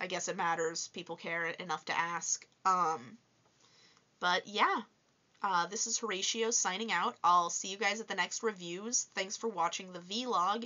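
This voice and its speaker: This woman speaks at a fairly slow pace. Her pitch variation is ordinary. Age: 20s. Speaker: toy reviewer vlogger. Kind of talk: casual vlog Q&A.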